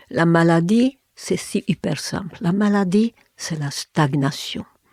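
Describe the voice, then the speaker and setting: In a Hungarian accent, a woman speaks at a very slow pace with fairly low pitch and ordinary pitch variation, the sound dry and close with no echo. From Hungary. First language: Hungarian (speaking French). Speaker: therapist and former linguist. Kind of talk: interview. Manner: halting, with many fillers and repetitions.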